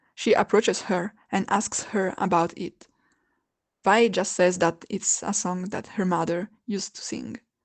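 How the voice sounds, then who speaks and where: With a non-native accent, a woman speaks fairly slowly at a medium pitch, with vocal fry, ordinary pitch variation and big swings in loudness, in a dry, close sound with no echo against a quiet background. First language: not English. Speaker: video essayist. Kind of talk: video essay narration.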